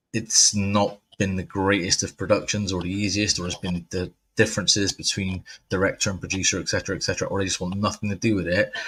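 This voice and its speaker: With an English accent, a man speaks at a very fast pace in a fairly low, monotone, flat voice on a very clean recording with a silent background. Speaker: horror movie podcast host. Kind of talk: casual chat.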